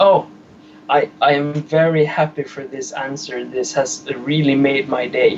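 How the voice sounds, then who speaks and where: Over background music, a man with a non-native accent talks at a fairly slow pace, his fairly high voice keeping a fairly even intonation. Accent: foreign. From Sweden. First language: Swedish. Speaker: caller. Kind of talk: phone call to live show. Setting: phone call. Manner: halting.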